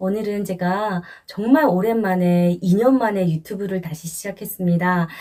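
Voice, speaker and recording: This woman's voice has a dark, mellow tone at medium pitch. She speaks at a fairly slow pace with ordinary pitch variation. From North Korea. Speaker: YouTube host, interviewer. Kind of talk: show intro to camera.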